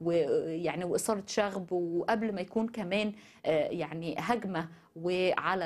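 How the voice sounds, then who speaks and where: A woman with an Egyptian accent and fairly low pitch. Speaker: news show host. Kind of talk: news commentary. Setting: studio. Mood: indignant, critical. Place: studio. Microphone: lapel.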